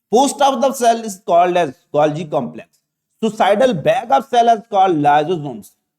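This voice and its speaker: A man speaks with a Pakistani accent at a high pitch. His intonation is lively and his pace moderate. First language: Urdu. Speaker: biology teacher. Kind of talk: lecture. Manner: halting, many fillers.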